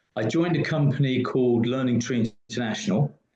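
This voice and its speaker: A man with a British accent speaks in a somewhat breathy voice. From UK. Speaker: business consultant. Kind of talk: interview.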